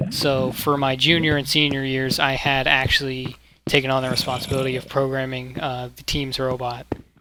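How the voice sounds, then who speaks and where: A man with a medium pitch talks at a fairly quick pace. His intonation is monotone and flat, with noticeable background noise. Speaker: gaming YouTuber. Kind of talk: casual talk to camera.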